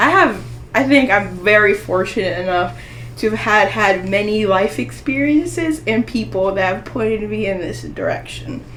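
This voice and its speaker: A woman at a moderate pace, with audible room echo and noticeable background noise. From US, Mexican-American family. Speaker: aspiring doctor. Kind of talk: casual interview chat.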